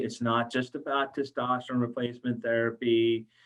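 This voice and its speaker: The intonation holds fairly even throughout. It is an unremarkable speaking voice. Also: man. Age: 50s. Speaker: pharmacist podcast host. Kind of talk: podcast interview.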